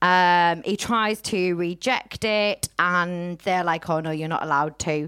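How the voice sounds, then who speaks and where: This woman speaks with a Teesside accent in a fairly low voice, with ordinary pitch variation. The recording is very clean, the background silent. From Teesside, north-east England. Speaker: podcast host. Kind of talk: casual chat. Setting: stage with audience.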